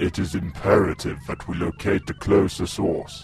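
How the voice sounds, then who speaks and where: With clear music in the background, a man uses a raspy put-on character voice at a moderate pace. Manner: emotionless, commanding.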